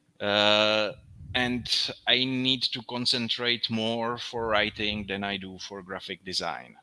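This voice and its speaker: A man's bright, sharp voice, fairly low, with a non-native accent, fairly even intonation, big swings in loudness and a very slow pace. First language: not English. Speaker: graphic designer. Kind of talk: casual chat. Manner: halting.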